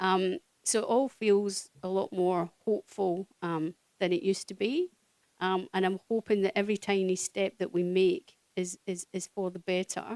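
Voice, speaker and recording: With a Scottish accent, a woman speaks in fairly even intonation, in a dry, close sound with no echo. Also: medium pitch for a woman, moderate pace. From Scotland. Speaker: social worker. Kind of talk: speech at community event. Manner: hesitant, many fillers.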